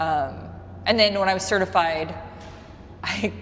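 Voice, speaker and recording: Noticeable background noise fills the recording. Through it comes a woman's voice. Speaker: yoga instructor and studio owner. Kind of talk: interview. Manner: fast; casual.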